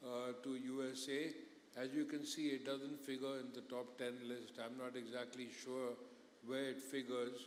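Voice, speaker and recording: A man talks at a fairly slow pace in a monotone, flat delivery. The room echo is audible. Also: medium pitch for a man. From India. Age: 60s. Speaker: business executive. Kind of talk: conference panel interview.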